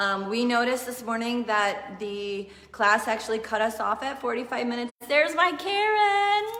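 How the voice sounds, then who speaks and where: A woman with a high, warm voice speaks at a moderate pace with lively intonation and hardly any pauses. Background noise is noticeable. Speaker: yoga teacher. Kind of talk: live online yoga class. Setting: live stream. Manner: casual, warm.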